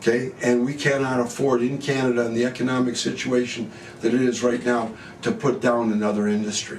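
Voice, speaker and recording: Amid noticeable background noise and audible room echo, a man at a medium pitch talks at a fairly quick pace with fairly even intonation and very even loudness. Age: 70s. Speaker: gun shop owner. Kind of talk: interview.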